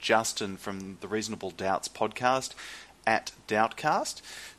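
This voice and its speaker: Bright and sharp in tone, this man's voice sits at a medium pitch. He speaks at a moderate pace with an Australian accent. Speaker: podcast host. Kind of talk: casual chat. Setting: video call.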